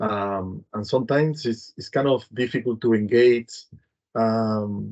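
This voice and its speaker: This man speaks at a medium pitch in a Spanish accent. His intonation is fairly even. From Spain, Madrid. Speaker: humanitarian program director. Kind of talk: panel discussion. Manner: halting, many fillers.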